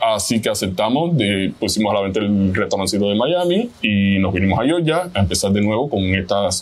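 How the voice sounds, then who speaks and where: A man in a Cuban accent at a fairly quick pace, with lively intonation. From Cuba, Havana. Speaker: chef. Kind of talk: interview.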